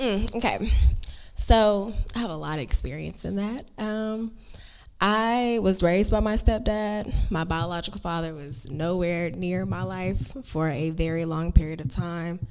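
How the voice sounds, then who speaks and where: An ordinary speaking voice talks at a fairly slow pace. Its intonation is lively. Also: woman, fairly low pitch for a woman. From Houston, Texas. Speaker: audience member. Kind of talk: personal testimony and question.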